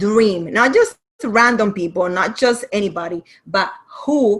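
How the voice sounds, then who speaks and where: A woman with a Caribbean accent, at a very slow pace. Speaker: writing and business coach. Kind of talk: online masterclass presentation. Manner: animated.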